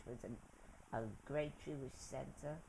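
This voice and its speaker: In an American accent, a woman with a very deep, low pitch speaks fairly slowly amid audible room echo. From New York City, the Bronx. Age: 90s. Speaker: interviewee recounting her life. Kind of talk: oral history interview. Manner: halting.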